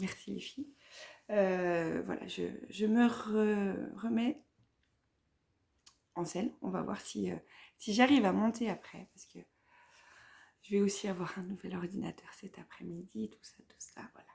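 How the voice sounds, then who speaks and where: A woman with a slight eastern French accent, at a fairly slow pace with long, frequent pauses and big swings in loudness. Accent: slight Vosges (eastern French). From Vosges, north-eastern France. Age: 30s. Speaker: knitting podcaster. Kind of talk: casual vlog chat. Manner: hesitant, many fillers.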